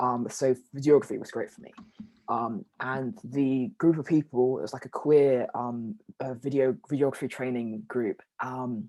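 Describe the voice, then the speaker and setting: A man with a London accent speaks at a moderate pace and medium pitch in a dark, mellow tone. His pitch varies in an ordinary way, his loudness swings widely, and the background is quiet. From South London. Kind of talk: interview conversation. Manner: halting, many fillers.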